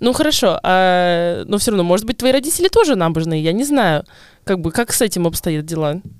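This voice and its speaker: Speaking at a fairly quick pace, a woman uses lively intonation at a medium pitch. She has a plain, everyday voice. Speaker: podcast host. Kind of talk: casual chat.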